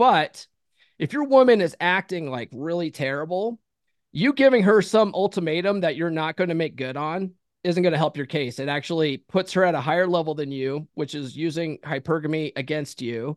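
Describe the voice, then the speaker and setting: An unremarkable speaking voice, dry and close with no echo, over a quiet background. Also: man, fairly high pitch for a man, lively intonation, moderate pace. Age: 40s. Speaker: author and podcast host. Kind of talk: casual interview.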